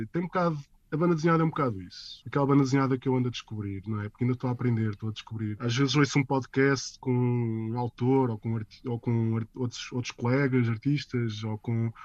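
Speaking very fast with hardly any pauses, a man at a medium pitch shows ordinary pitch variation, in a dry, close recording with no echo. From Portugal. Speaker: comics artist. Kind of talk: interview. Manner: halting.

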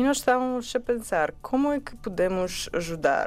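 A woman with a Bulgarian accent, at a fairly slow pace with ordinary pitch variation, over music in the background. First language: Bulgarian (speaking Portuguese). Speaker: startup founder. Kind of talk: interview. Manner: halting.

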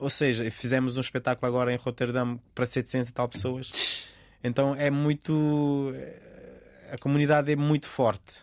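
The recording is very clean with a silent background and a dry, close sound with no echo, and the voice holds very even loudness with monotone, flat intonation. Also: man, medium pitch for a man, moderate pace. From Cape Verde. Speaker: stand-up comedian. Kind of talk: interview.

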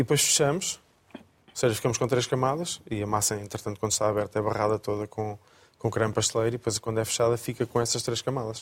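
A man at medium pitch talks very fast, keeping his intonation fairly even. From Coimbra, Portugal. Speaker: chef. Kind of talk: casual chat. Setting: studio.

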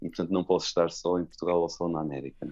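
His pitch sits very deep and low. The man talks at a very fast pace. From California, US (Portuguese immigrant family). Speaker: community councillor and media producer. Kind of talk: radio interview.

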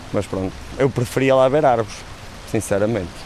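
This man keeps to a moderate pace, and noticeable background noise is heard behind him. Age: 30s. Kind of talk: testimony.

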